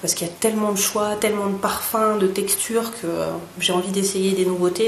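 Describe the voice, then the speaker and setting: A woman's medium-pitched voice with fairly even intonation, audible room echo and noticeable background noise. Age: 30s. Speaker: beauty vlogger. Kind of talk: product review vlog. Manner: hesitant, many fillers.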